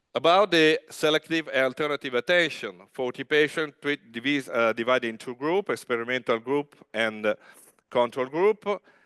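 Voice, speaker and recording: A man's fairly high voice with ordinary pitch variation at a moderate pace, in a dry, close sound with no echo. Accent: Italian. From Italy, Genoa. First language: Italian. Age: 50s. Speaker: rehabilitation physician. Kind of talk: conference talk. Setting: stage with audience. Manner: loud; halting.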